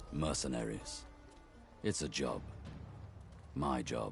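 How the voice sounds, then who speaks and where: A man puts on a rumbling character voice at a fairly slow pace. Clear music plays in the background. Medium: video game. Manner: gruff, laconic.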